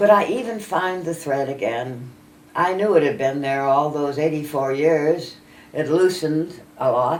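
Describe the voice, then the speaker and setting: A woman talks at a fairly slow pace with a very deep, low pitch and lively intonation. There is audible room echo in the recording. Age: 80s+. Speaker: elderly poet. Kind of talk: reading aloud.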